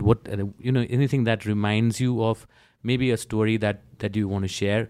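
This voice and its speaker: On a very clean recording with a silent background, a man with a Nepali accent talks at a moderate pace in a fairly low pitch, his intonation fairly even. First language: Nepali or Newari. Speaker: podcast host. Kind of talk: casual interview chat.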